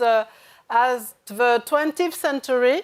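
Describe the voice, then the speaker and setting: Speaking at a very slow pace in a French accent, a woman has a high pitch, heard on a very clean recording with a silent background. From France. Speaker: journalist and author. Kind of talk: panel discussion. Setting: stage with audience. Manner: halting, many hesitations.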